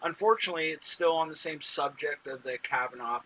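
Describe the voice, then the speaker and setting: A man's high-pitched voice with lively intonation over noticeable background noise. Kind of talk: political commentary to camera. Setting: wrong microphone, poor sound. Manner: casual, hesitant with fillers.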